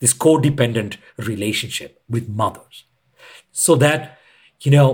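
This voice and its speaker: In a very clean recording with a silent background, a man speaks at a fairly slow pace, somewhat breathy and with lively intonation. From India. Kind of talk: podcast interview.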